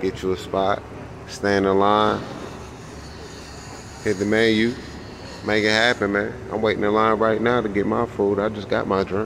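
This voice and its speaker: The delivery is monotone and flat at a moderate pace, with very even loudness, long, frequent pauses and noticeable background noise. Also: man, fairly low pitch for a man. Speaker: vlogger. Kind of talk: casual vlog chat. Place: street. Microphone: phone near.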